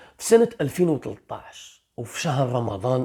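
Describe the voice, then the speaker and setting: A very slow voice with an Algerian accent, on a very clean recording with a silent background. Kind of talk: true crime story narration. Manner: casual storytelling.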